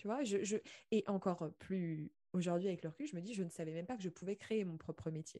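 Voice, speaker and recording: A woman's medium-pitched voice, dark and mellow in tone, at a fairly quick pace with ordinary pitch variation, over a quiet background. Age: 20s. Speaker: podcast host. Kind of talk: interview conversation. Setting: video call.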